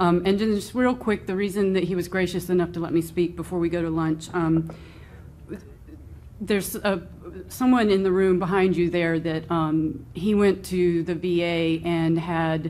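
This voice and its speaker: A woman's fairly low, dark, mellow voice with fairly even intonation. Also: moderate pace. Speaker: community advisory panel member. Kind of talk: public meeting Q&A. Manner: loud.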